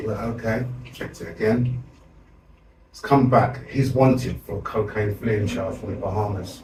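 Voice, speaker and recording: Audible room echo surrounds a man talking at a moderate pace in a medium pitch. His intonation is fairly even, but his loudness swings widely. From South London. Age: 60s. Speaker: community activist. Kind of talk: interview storytelling.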